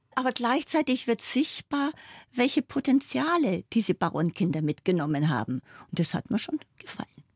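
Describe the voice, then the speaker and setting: Pitched fairly high, a woman's voice shows vocal fry and very wide pitch swings at a moderate pace, recorded very cleanly against a silent background with a dry, close sound and no echo. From Bavaria, Bavarian Forest. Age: 70s. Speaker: foundation chair and former state politician. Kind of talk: radio interview.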